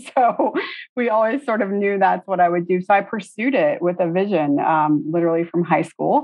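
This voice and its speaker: In an ordinary speaking voice, a woman with an American accent speaks at a medium pitch. She keeps a moderate pace and very even loudness. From Tallahassee, Florida. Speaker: interior designer, design principal. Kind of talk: interview.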